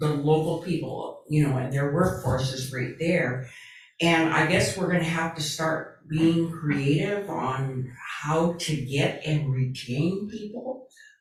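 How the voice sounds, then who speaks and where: Over noticeable background noise and audible room echo, a woman talks at a very slow pace with a very deep, low pitch and ordinary pitch variation. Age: 70s. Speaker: city council member. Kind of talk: council meeting discussion.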